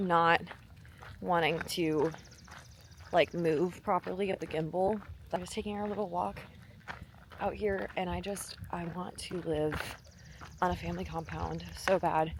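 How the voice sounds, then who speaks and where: A woman at a fairly slow pace, with long, frequent pauses and noticeable background noise. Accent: American. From Wisconsin, US Midwest. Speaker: fitness vlogger and bodybuilding coach. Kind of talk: casual vlog talk to camera. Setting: outdoors on a walk.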